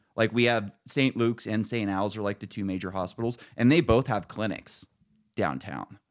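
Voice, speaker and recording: On a very clean recording with a silent background, a man with an American accent speaks at a fairly low pitch with ordinary pitch variation. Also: moderate pace. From Northern California. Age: 30s. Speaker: podcast host. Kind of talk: casual political chat.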